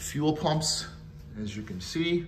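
Over light background noise, a man speaks in a somewhat breathy voice with lively intonation. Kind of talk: narrated walkaround commentary. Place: garage. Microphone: phone near.

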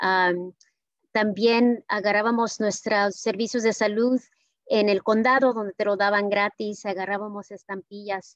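Over a quiet background, the delivery is monotone and flat, fairly slow, with a dry sound and no echo. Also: woman. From California, Watsonville (Mexican-born); California. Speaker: public health official; conference speaker. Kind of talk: speech. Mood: warm, grateful. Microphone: video call.

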